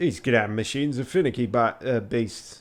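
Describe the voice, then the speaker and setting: A man's rumbling put-on character voice in a strong Yorkshire accent, medium pitch, moderate pace, ordinary pitch variation, very clean recording with a silent background. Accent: thick Yorkshire. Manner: grumbling.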